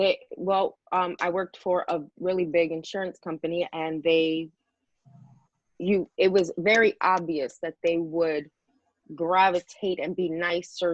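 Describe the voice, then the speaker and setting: A woman with a New York accent speaks at a fairly slow pace, her fairly low pitch carried in fairly even intonation. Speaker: model and panelist. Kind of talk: casual panel discussion.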